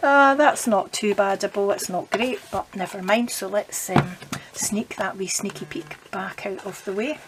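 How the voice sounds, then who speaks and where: A woman's medium-pitched voice with a Scottish accent and lively intonation, over noticeable background noise. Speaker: papercraft demonstrator. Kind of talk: crafting tutorial. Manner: casual, chatty; speaking quietly.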